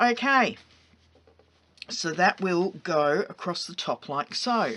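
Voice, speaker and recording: A woman with an Australian accent and very wide pitch swings, over noticeable background noise. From England. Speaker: craft tutorial host. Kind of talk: tutorial. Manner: casual, chatty.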